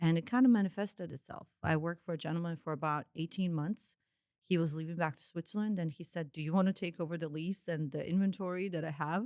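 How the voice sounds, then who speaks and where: A woman with a Croatian accent, fairly low pitch, ordinary pitch variation and a very fast pace. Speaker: entrepreneur. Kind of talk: podcast interview.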